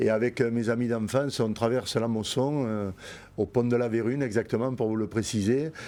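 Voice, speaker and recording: Over a silent background in a very clean recording, a man with a dark, mellow tone speaks at medium pitch and a moderate pace, his intonation fairly even. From Montpellier, southern France. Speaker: bull breeder, businessman. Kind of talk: interview answer.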